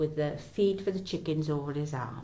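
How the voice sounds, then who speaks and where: A woman in a South Welsh accent at a moderate pace, with audible room echo. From south Wales, Bridgend area. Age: 70s. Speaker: local historian. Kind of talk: oral history narration. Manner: conversational.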